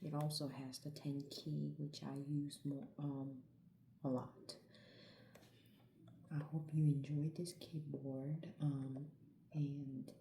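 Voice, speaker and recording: The speaker is soft-spoken and goes at a very slow pace. Long, frequent pauses break up the speech. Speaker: ASMR creator. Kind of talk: ASMR product review.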